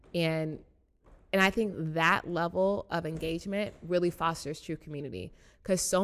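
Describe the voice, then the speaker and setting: With an American accent and an unremarkable speaking voice, a woman speaks at a fairly low pitch with ordinary pitch variation on a very clean recording with a silent background. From US South, Chattanooga, Tennessee. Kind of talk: interview.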